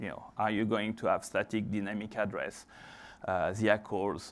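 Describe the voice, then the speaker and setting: The pace of this man's speech is fairly slow. His voice sits at a medium pitch. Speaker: conference speaker, email and network engineer. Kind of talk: conference talk. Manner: hesitant with many fillers.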